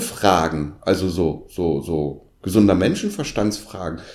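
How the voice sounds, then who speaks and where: Very slowly, a man speaks in a very deep, low pitch. Audible room echo surrounds his voice. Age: 50s. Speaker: podcast co-host. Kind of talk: casual chat.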